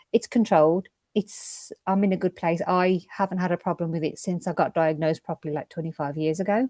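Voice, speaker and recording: Fairly low-pitched woman at a fairly quick pace, dark, mellow tone and fairly even intonation, in a dry, close sound with no echo. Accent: British. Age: 50s. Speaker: midwife. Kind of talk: testimony.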